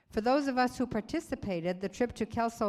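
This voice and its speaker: A woman speaks with an unremarkable speaking voice at a fairly quick pace. Her intonation is lively. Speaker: church member reading letters. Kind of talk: reading aloud. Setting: church stage with audience.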